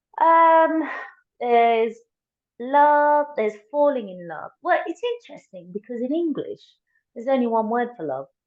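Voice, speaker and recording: Speaking at a moderate pace in a Tamil accent, a woman with a high voice swings very widely in pitch and sharply in loudness, leaving long, frequent pauses. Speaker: coach. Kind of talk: casual chat.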